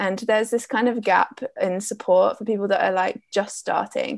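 This woman has a fairly high pitch and an Essex accent, with ordinary pitch variation. The background is quiet. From Essex, England. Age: 20s. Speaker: business coach. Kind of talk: interview.

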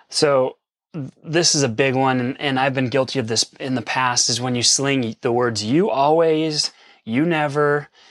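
The recording is very clean, with a silent background and a dry, close sound with no echo. A man speaks at medium pitch and a fairly slow pace. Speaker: podcast co-host. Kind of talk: casual chat. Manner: animated.

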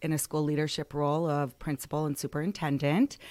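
In a very clean recording with a silent background, a woman with an Upper Midwest accent speaks at a very deep, low pitch. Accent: Upper Midwest American. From Michigan, Lansing area. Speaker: school principal. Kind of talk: interview.

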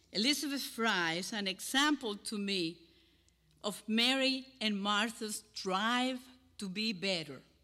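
In a Cuban accent, a woman with a bright, sharp tone and fairly high pitch talks at a fairly slow pace with lively intonation. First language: Spanish.

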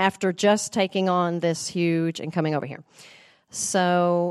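With a Southern US accent, a woman speaks at a fairly low pitch. The sound is dry and close with no echo, over a quiet background. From US South, small-town Tennessee. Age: 50s. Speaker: voice teacher. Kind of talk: testimony. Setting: women's Bible study group.

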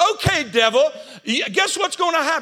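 Over noticeable background noise, a man speaks in a raised, projected voice with lively intonation. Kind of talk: sermon, preacher in full flow with call-and-response. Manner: repeats phrases for emphasis and prompts the audience to answer.

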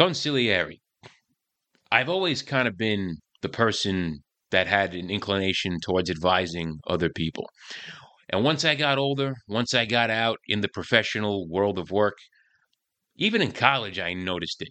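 With a fairly low pitch and a bright, sharp tone, a man talks at a moderate pace using lively intonation and long, frequent pauses. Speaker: podcast host and career coach. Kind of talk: podcast monologue. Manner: animated, brash, humorous.

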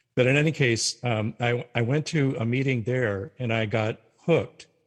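A man with an American accent speaks in a somewhat breathy voice with ordinary pitch variation. The background is quiet. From North Dakota, US. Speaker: retired religion professor. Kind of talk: interview.

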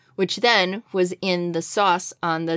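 A woman speaks in an ordinary speaking voice. Her pitch is fairly low, with fairly even intonation. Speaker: podcast co-host. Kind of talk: casual chat.

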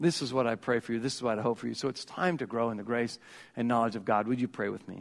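A man with a medium-pitched voice talks at a very fast pace with ordinary pitch variation against a quiet background. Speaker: pastor. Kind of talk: sermon. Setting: church.

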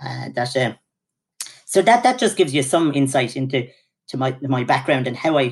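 Speaking at a fairly quick pace, a man with an Irish accent keeps a medium pitch. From Ireland. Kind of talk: interview.

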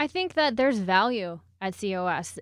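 A woman speaks at a moderate pace in a medium pitch. Hers is an ordinary speaking voice. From Texas, Houston. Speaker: airport communications staff. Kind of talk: interview. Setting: studio.

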